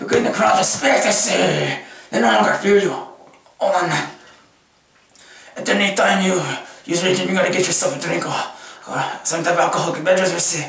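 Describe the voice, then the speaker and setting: Someone puts on a character voice at a fairly quick pace with long, frequent pauses. There is a slight echo. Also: man, high pitch for a man. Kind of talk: comedy sketch talk to camera. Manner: exaggerated, swaggering.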